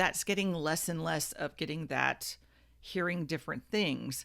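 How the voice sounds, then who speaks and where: Against a silent background in a very clean recording, a woman speaks at a moderate pace. She has an American accent, vocal fry and a fairly low pitch. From South Florida. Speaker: radio broadcaster. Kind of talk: casual podcast talk.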